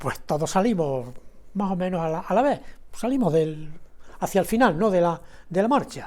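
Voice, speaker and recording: A man with a high pitch talks at a moderate pace, using lively intonation and long, frequent pauses. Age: 70s. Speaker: writer and painter, former legionnaire. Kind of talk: casual interview.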